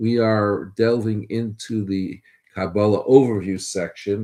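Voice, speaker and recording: Dark, mellow tone over a quiet background. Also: man. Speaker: religious studies teacher. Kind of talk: lecture. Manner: halting, many fillers.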